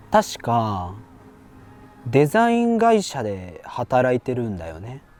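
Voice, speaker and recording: A man at a very slow pace, ordinary pitch variation, music in the background. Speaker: actor. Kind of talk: scripted dialogue for language learners. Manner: slow, clear.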